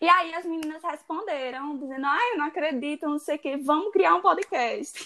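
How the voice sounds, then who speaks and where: A woman with a high pitch speaks in a raised, projected voice. She keeps a moderate pace with hardly any pauses. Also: ordinary pitch variation. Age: 20s. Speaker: podcast co-host, law student. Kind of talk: casual chat.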